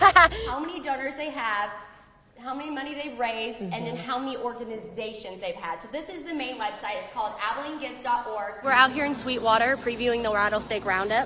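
Against noticeable background noise, a woman talks fairly quickly in a high voice. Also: big swings in loudness. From Texas. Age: 20s. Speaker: TV news reporter. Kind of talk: live news field report.

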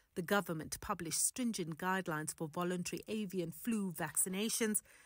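Recorded very cleanly against a silent background, a woman with a plain, everyday voice speaks at a moderate pace and medium pitch. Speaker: news reporter. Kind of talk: news narration.

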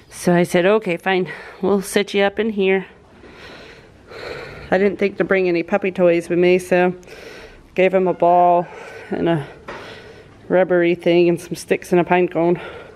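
A woman's fairly low, clear, smooth voice, slightly mellow, with little pitch movement and long, frequent pauses. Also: fairly slow pace.

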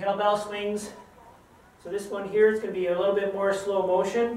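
A man with a high-pitched voice is heard with audible room echo and light background noise. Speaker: fitness trainer. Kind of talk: tutorial. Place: gym. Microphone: camera far.

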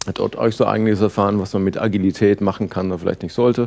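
A man talks at a fairly quick pace. His voice is fairly low in pitch, with a dark, mellow tone. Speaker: conference speaker and agile trainer. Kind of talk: conference talk. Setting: stage with audience. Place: hall.

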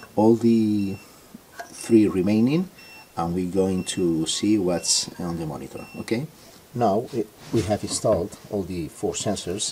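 Light background noise sits behind speech delivered fairly slowly. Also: man. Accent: Spanish. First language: Spanish. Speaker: product reviewer. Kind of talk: tutorial. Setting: in a car. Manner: halting. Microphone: phone near.

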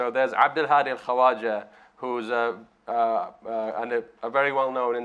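At a medium pitch, a man speaks with monotone, flat intonation. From Bahrain. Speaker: human rights activist; panelist. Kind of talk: panel discussion. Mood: earnest, calm. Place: hall.

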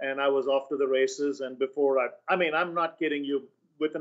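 A man talks at a very fast pace. His pitch is fairly high and the background is quiet. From India. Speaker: author and sales trainer; sales trainer. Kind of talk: interview. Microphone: webcam.

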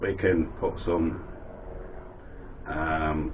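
A man's very deep, low voice in a monotone, flat intonation, with noticeable background noise. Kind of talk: casual vlog chat. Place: workshop.

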